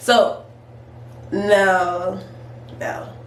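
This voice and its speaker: Noticeable background noise accompanies a woman talking with an American accent. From California. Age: 20s. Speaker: hairstylist. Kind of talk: casual storytime talk to camera.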